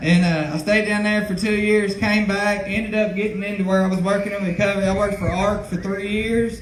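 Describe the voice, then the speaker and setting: Loud and fairly quick, a man talks in a high pitch with flat, monotone intonation. Audible room echo and noticeable background noise surround him. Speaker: recovery counselor. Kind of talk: public speech.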